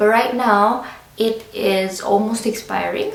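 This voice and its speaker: The speaker goes at a fairly slow pace in a flat monotone. Audible room echo and noticeable background noise fill the recording. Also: woman. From Philippines. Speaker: vlogger. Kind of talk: vlog tutorial.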